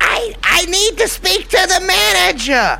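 An extremely high-pitched, nasal put-on character voice speaks at a fairly slow pace. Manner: whiny, demanding.

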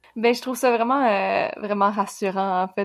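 A woman in a Quebec accent, medium pitch and monotone, flat intonation at a fairly quick pace, on a very clean recording with a silent background. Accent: Québécois French. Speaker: podcast co-host. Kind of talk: interview conversation.

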